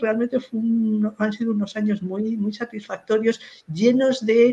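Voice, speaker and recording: Somewhat breathy and fairly high in pitch, a woman talks at a moderate pace. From Spain, Madrid. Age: 60s. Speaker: philologist, professor and writer. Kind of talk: interview about her career.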